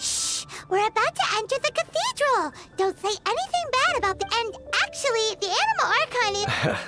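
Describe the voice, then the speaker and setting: A put-on character voice at an extremely high pitch rattles along at a fairly quick pace over loud background noise. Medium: video game.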